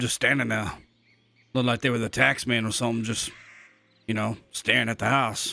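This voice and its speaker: A man in a raspy, put-on character voice at medium pitch, fairly quick in pace with long, frequent pauses and fairly even intonation. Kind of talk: western roleplay storytelling. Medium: game stream. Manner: rambling, folksy, halting with filler words.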